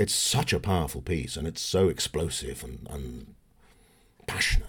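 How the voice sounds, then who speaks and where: A man with a southern English accent talks at a fairly slow pace with long, frequent pauses. His lively intonation has vocal fry and big swings in loudness. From southern England, Berkshire. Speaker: actor. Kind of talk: casual chat.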